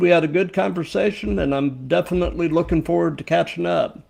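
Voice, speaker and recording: Fairly high-pitched man in a plain, everyday voice with lively intonation. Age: 50s. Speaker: podcast host. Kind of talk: livestream podcast interview. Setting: livestream.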